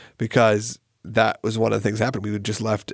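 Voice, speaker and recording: A man with an American accent, fairly low in pitch with vocal fry, at a very fast pace, in a very clean recording with a silent background. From US South, Atlanta area. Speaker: podcast host. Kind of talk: casual chat.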